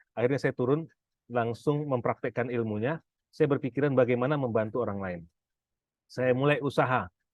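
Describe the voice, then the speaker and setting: Man's medium-pitched voice, fairly quick, with ordinary pitch variation. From Pekanbaru, Sumatra, Indonesia. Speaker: business and finance coach. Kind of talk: seminar talk. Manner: casual, with frequent fillers.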